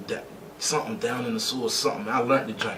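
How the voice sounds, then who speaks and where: Over noticeable background noise and audible room echo, a man at medium pitch talks at a very fast pace. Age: 20s. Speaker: rapper. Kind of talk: casual interview. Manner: animated.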